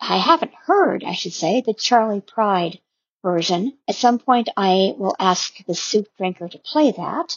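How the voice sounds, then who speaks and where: With an ordinary speaking voice, a woman of medium pitch talks at a fairly slow pace with lively intonation. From US, Wyoming. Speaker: podcast listener sending in a comment. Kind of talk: recorded voice message.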